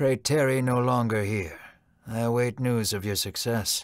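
On a very clean recording with a silent background, a man uses a put-on character voice at medium pitch and a moderate pace. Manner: soft, regal, desperate.

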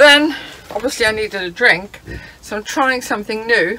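A woman's high-pitched voice over light background noise. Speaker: travel vlogger. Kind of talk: casual vlog chat. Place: car. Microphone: phone near.

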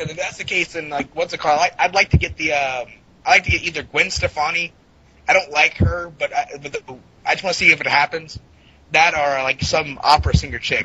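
Through noticeable background noise, a man talks at a fairly quick pace with big swings in loudness. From US South, Florida near the Georgia border. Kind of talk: casual chat.

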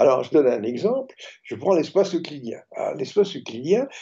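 This man's voice is fairly high, with a dark, mellow tone and a husky, rough edge. He moves at a fairly quick pace with big pitch swings.

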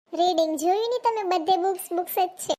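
In a cartoonish character voice, a woman squeaks at an extremely high pitch, with ordinary pitch variation and a moderate pace. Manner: polite, soft.

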